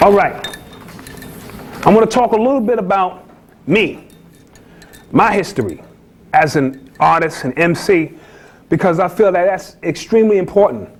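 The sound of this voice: Here a man speaks in a Bronx accent at a high pitch. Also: lively intonation, moderate pace. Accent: New York, Bronx.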